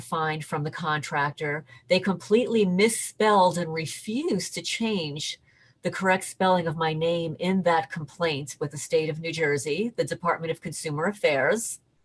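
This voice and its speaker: A woman speaks at a moderate pace with a fairly low, somewhat breathy voice. Her pitch varies in an ordinary way against a quiet background. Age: 60s. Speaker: interviewee reporting harassment. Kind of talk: interview testimony. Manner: halting, repeats words.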